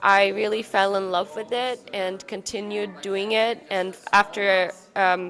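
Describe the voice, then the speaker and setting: Her pace is fairly slow and her pitch medium. This woman keeps a flat, monotone intonation. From Ukraine. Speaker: ice dancer. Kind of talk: interview.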